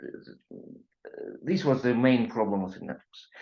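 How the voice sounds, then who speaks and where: A man's voice carries audible room echo. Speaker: IT consultant and webinar presenter. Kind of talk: technical webinar lecture. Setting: online webinar. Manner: halting, many fillers.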